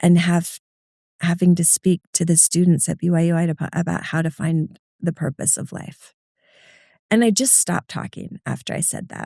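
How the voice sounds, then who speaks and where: Somewhat breathy, a woman with a fairly low pitch and a dark, mellow tone is heard dry and close with no echo in a very clean recording with a silent background. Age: 50s. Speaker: nonprofit CEO. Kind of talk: interview. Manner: fast.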